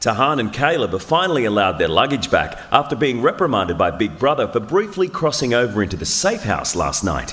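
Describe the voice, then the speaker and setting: Against noticeable background noise, a man with an Australian accent speaks fairly quickly at medium pitch, with very wide pitch swings and hardly any pauses. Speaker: TV narrator. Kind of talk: scripted narration.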